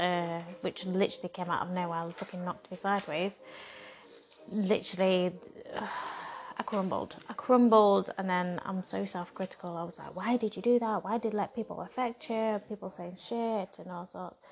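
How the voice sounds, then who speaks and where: Over music in the background, a woman speaks at a medium pitch and a moderate pace with fairly even intonation. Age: 30s. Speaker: podcast host. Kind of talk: casual monologue. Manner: rambling.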